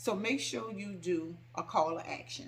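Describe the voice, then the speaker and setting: A woman speaks loudly with an animated tone. Vocal fry runs through her voice. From New Orleans, US South. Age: 50s. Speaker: home decor YouTuber. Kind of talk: casual Q&A vlog. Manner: animated, sassy.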